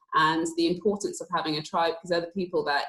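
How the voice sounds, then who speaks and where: A woman with a southern English accent, fairly low pitch, ordinary pitch variation and a very fast pace. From London, England (northwest London). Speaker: athlete. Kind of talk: panel discussion.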